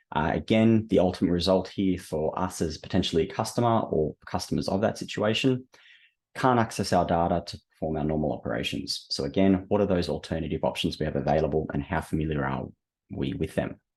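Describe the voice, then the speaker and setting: With an Australian accent, a man talks at a very fast pace, his very deep, low voice carrying vocal fry. His intonation is lively against a quiet background. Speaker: webinar host, operations director. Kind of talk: product webinar presentation. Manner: hesitant, many fillers.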